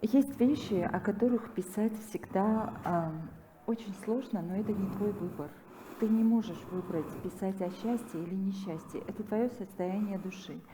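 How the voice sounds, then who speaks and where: A woman talks at a moderate pace with a medium pitch and ordinary pitch variation, noticeable background noise behind her. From Armenia. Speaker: author. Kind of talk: panel conversation.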